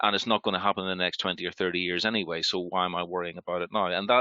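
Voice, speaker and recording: Very fast and very deep, a man's low voice carries a Northern Irish accent and fairly even intonation. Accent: Northern Irish (Belfast). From Northern Ireland, Belfast. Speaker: healthcare sustainability panelist. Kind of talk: panel discussion. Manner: halting.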